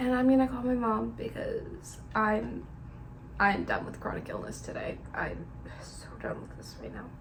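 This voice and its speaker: The recording has audible room echo and noticeable background noise, and the loudness swings widely. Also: woman, fairly slow pace. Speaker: vlogger with a service dog in training. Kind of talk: casual vlog narration.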